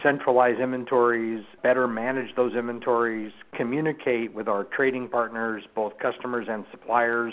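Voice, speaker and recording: Delivered at a moderate pace, this is a normal speaking voice. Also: man. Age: 60s. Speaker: company executive. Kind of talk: interview.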